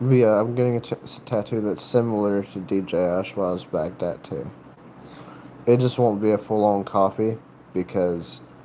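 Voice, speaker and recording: A man with an American accent speaks at a moderate pace and fairly low pitch. His intonation is fairly even, and there is noticeable background noise. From North Carolina, US South. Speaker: livestreamer with tattoos and piercings. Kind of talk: casual livestream chat. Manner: halting, many fillers and restarts.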